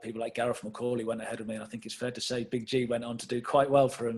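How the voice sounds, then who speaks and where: At a very fast pace, a man with an English accent speaks in a medium pitch, his intonation monotone and flat. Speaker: football manager. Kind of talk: interview.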